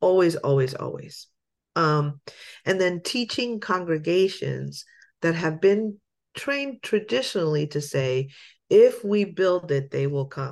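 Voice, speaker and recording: A woman with a fairly low pitch and an unremarkable speaking voice talks at a fairly slow pace with lively intonation against a quiet background. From Lancaster, Pennsylvania, US; Puerto Rican parents. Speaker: pastor and church ministry director. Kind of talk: casual interview.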